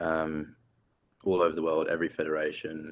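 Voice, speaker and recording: A man with an English accent speaks at a moderate pace in a very deep, low pitch with monotone, flat intonation. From England. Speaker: competitive bodybuilder. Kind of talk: interview.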